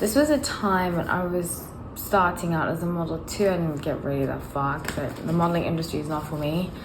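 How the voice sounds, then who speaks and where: A woman with a fairly low pitch at a fairly quick pace, ordinary pitch variation, audible room echo and noticeable background noise. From South Africa, Johannesburg. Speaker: tarot reader. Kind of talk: casual chat. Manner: halting.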